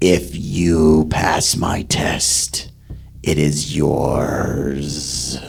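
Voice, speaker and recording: A man puts on a growling character voice with a very deep, low pitch. He speaks at a very slow pace. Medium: actual play. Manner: grand, formal.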